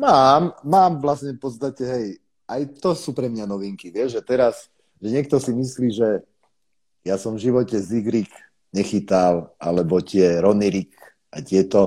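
On a very clean recording with a silent background, a man speaks at a fairly slow pace. He has a normal speaking voice of medium pitch with lively intonation. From eastern Slovakia, Košice. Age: 30s. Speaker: carp angler. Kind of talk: casual chat.

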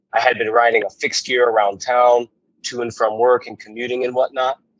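Using an ordinary speaking voice with an American accent, a man speaks fairly quickly at a medium pitch, the sound dry and close with no echo. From Chicago, Illinois. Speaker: cycling club member. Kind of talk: casual interview chat.

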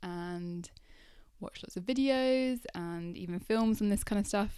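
Mumbling at a moderate pace, a woman talks at a medium pitch with ordinary pitch variation. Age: 20s. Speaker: life coach podcaster. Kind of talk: solo podcast monologue. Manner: mumbles a bit, conversational.

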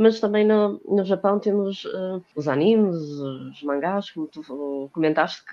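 A woman with an unremarkable speaking voice, medium pitch, and ordinary pitch variation. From Portugal, Porto. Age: 30s. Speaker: cosplayer and fashion designer. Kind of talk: casual chat.

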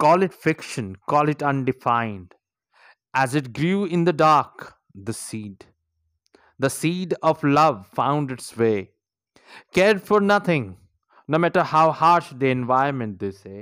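With an Indian accent, the speaker uses a dramatic tone, very wide pitch swings, a fairly slow pace and long, frequent pauses. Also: man, fairly high pitch for a man. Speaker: poet and podcaster. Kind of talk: poetry performance, read aloud with an intro and outro. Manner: slow, measured, dramatic and emotive delivery; earnest, warm, encouraging.

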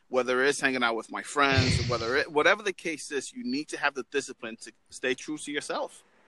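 An unremarkable speaking voice from a man with an American accent, fairly high in pitch, at a fairly quick pace with hardly any pauses, ordinary pitch variation and big swings in loudness. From New York. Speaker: motivational speaker, military veteran. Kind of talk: casual chat.

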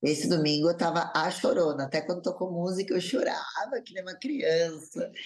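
Lively intonation and big swings in loudness mark this woman's fairly low-pitched delivery, which moves at a moderate pace with hardly any pauses over noticeable background noise. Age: 30s. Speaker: influencer, former reality show contestant and TV dancer. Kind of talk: casual interview, personal testimony.

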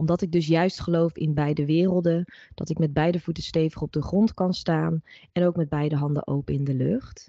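A woman speaks at a moderate pace in a very deep, low voice with fairly even intonation. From Netherlands. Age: 30s. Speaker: holistic psychologist and reiki practitioner. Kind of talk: interview conversation.

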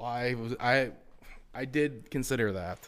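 With ordinary pitch variation, a man talks in a medium-pitched voice. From Wisconsin. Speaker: hunting podcast host. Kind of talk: casual chat.

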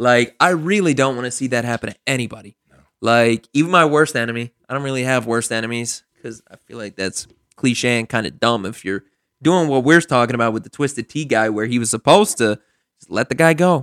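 In a dry, close recording with no echo, a man talks at a fairly quick pace and medium pitch, animated, with ordinary pitch variation and big swings in loudness. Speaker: podcast host. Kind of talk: casual banter, comedic chat. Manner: animated, joking.

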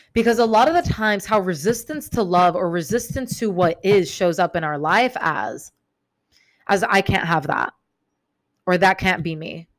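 A woman talks at a moderate pace with lively intonation and a medium pitch, recorded very cleanly against a silent background. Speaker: self-help podcaster. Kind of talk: solo podcast monologue. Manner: casual, many fillers like 'um', 'like'.

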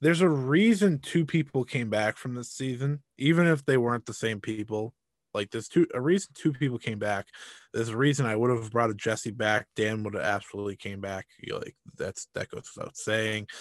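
In a very clean recording with a silent background and a dry, close sound with no echo, a man talks at a fairly quick pace in an ordinary speaking voice of medium pitch with lively intonation. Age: 20s. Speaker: podcast co-host. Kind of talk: casual chat.

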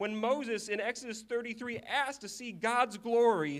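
A high-pitched male voice at a fairly slow pace with ordinary pitch variation, on a very clean recording with a silent background. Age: 20s. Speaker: preacher. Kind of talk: sermon.

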